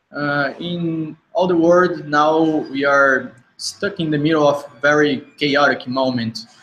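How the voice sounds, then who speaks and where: Speaking very slowly in a Brazilian accent, a man uses a fairly high voice and fairly even intonation. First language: Portuguese. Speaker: UX consultancy co-founder. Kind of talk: online festival talk. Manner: halting, many fillers.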